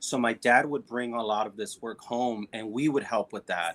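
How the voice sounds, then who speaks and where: The delivery has ordinary pitch variation and moves at a fairly slow pace. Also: man. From Oakland, California. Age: 30s. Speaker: visual artist. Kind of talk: interview. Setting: live stream. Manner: halting.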